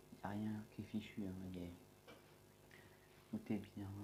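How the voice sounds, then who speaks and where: This man's voice sits fairly low in pitch, with a dark, mellow tone. His intonation stays monotone and flat. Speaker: gaming YouTuber. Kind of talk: gameplay commentary. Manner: speaking louder than usual; usually quiet.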